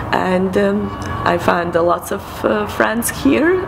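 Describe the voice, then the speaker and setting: A woman speaks in a Serbian accent at a very slow pace. Loud background noise runs underneath. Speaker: film producer. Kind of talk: testimonial. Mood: warm, positive. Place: garden.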